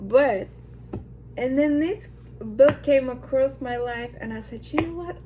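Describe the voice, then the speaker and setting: A woman's animated tone, a non-native accent and a fairly slow pace, over noticeable background noise. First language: not English. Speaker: lifestyle vlogger. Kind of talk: casual vlog talk.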